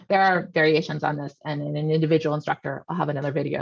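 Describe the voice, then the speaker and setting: A woman's very deep, low pitch in a dry, close sound with no echo. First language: not Russian. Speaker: history professor. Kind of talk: educational explainer video. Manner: conversational, many fillers (um, uh).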